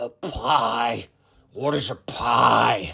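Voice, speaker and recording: A man growls in a put-on character voice. His pitch sits at a medium level. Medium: read story.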